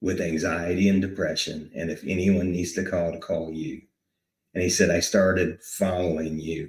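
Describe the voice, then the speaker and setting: A man speaks with a very deep, low pitch and a somewhat breathy sound. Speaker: war veteran. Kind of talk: interview, emotional personal testimony. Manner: halting, repeating words.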